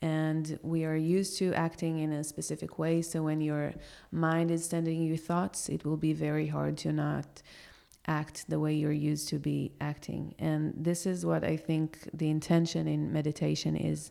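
A woman with an Israeli accent, very even loudness, and a moderate pace. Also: very clean recording, silent background. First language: Hebrew. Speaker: yoga teacher. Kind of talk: casual chat. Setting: cafe patio.

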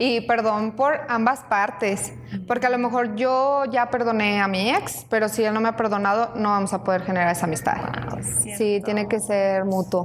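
A woman's fairly high voice at a moderate pace with ordinary pitch variation, over noticeable background noise. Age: 20s. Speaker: coffee shop operations coordinator and student. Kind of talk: casual chat. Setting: coffee shop.

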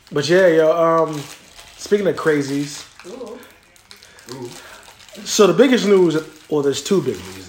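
Over noticeable background noise, a man with an American accent and a fairly high pitch speaks at a fairly slow pace. His intonation is lively, his loudness swings widely, and his pauses are long and frequent. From US, New Jersey (Cherry Hill area). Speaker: podcast host. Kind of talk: casual chat. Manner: animated.

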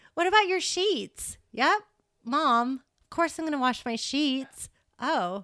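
Raised and projected, a woman's high-pitched voice carries a bright, sharp tone and an American accent, with very wide pitch swings. She speaks at a very slow pace on a very clean recording with a silent background. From Massachusetts. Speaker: elementary school teacher, mother. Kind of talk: casual interview chat.

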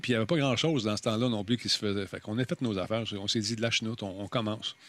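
A man speaks at a very fast pace in a Quebec accent. His pitch is medium. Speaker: podcaster and former TV host. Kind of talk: casual chat. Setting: live stream. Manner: animated.

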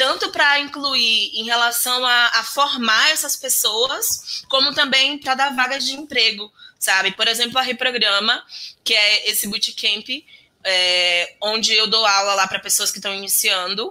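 Using a plain, everyday voice, a woman talks at a fairly slow pace with ordinary pitch variation. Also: fairly high pitch for a woman. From Bahia, Brazil (interior, Alagoinhas). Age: 30s. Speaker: software developer and programming teacher. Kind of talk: interview.

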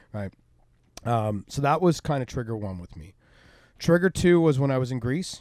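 With a Canadian accent, a man at medium pitch speaks at a moderate pace with long, frequent pauses, very wide pitch swings and big shifts in loudness, on a very clean recording with a silent background. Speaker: entrepreneur. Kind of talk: casual chat. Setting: on a boat.

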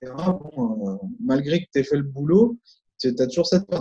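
This man has a dark, mellow tone that is somewhat breathy, with fairly high pitch and lively intonation. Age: 40s. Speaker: memory and concentration coach. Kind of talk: interview.

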